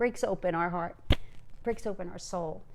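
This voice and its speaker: Using an ordinary speaking voice, a woman talks at a moderate pace with lively intonation. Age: 60s. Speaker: video podcast co-host. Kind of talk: casual chat.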